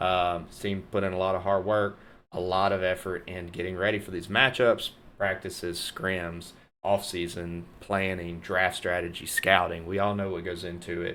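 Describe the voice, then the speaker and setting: With a North Louisiana accent, a man speaks at a moderate pace in a very deep, low voice and an upbeat tone. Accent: Southern US accent, North Louisiana. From US South, North Louisiana. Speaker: esports caster and streamer. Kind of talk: live stream commentary sign-off. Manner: casual, upbeat.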